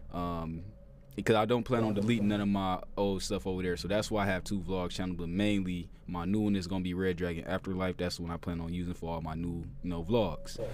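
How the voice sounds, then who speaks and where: A man with a very deep, low pitch and fairly even intonation speaks at a very fast pace. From Toledo, Ohio. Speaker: podcast host. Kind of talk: casual chat, podcast interview. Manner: casual, conversational.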